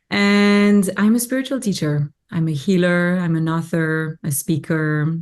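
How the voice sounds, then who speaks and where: With a French accent, a woman talks at a fairly slow pace in a fairly low pitch, using lively intonation and hardly any pauses. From Belgium. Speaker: spiritual teacher and healer. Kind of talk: podcast interview.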